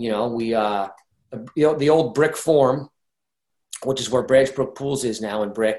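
Someone with a New Jersey accent talks at a fairly quick pace with ordinary pitch variation. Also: man. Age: 50s. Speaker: retired ice hockey player and youth coach. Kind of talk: interview.

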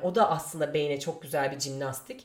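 A woman talks at a moderate pace. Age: 30s. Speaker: podcast host. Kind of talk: solo monologue. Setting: home. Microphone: new microphone.

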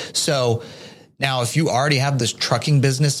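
A man talks at a very fast pace at medium pitch. His voice is somewhat breathy. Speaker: podcast co-host, tax adviser. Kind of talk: casual Q&A podcast.

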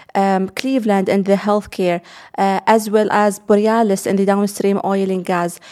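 A woman speaks at a medium pitch in an Arabic accent, her tone dark and mellow. Her intonation is fairly even, and the recording is very clean with a silent background. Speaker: investment executive. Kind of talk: interview. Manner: halting, many fillers.

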